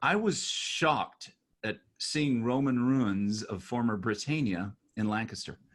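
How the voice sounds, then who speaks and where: With an American accent, a man with an unremarkable speaking voice talks at a fairly slow pace, at a medium pitch with ordinary pitch variation. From United States. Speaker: podcast host and author. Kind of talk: casual interview chat.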